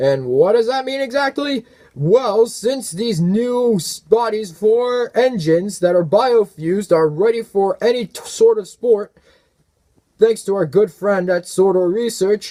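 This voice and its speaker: A man's put-on character voice, high-pitched and fairly slow. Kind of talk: sports arena announcing. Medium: audio drama. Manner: showy.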